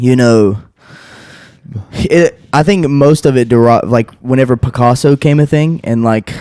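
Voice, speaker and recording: Here a man with a slight Southern US accent speaks at a medium pitch in a dark, mellow tone. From North Carolina, Taylorsville. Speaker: painter and podcast host. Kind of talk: casual chat.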